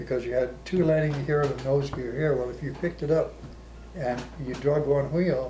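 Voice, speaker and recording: There's audible room echo as a man with a fairly high pitch speaks at a moderate pace with fairly even intonation. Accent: American. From Arizona. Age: 80s+. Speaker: war veteran. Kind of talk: oral history interview.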